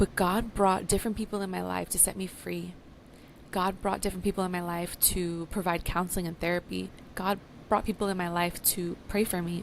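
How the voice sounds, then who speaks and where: A woman with a plain, everyday voice speaks at a moderate pace and medium pitch, her intonation fairly even. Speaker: podcast host; spoken word poet. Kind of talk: podcast talk, personal testimony.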